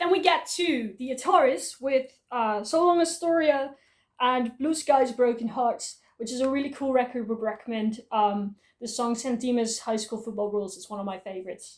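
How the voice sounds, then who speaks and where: With a Dutch accent, a woman speaks at a moderate pace in a high voice with lively intonation. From Netherlands. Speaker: YouTuber, music collector. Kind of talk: casual collection showcase video.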